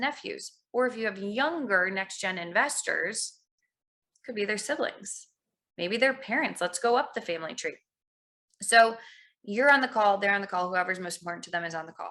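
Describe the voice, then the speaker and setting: At a fairly quick pace, a woman with a fairly high pitch uses a normal speaking voice with big swings in loudness, recorded very cleanly against a silent background. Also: ordinary pitch variation. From US Midwest, Chicago suburbs. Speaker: financial practice management consultant. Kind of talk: podcast interview.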